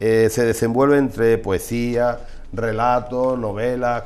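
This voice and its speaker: This man speaks very slowly at a medium pitch. His intonation is a flat monotone. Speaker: TV presenter. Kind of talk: TV interview. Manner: halting.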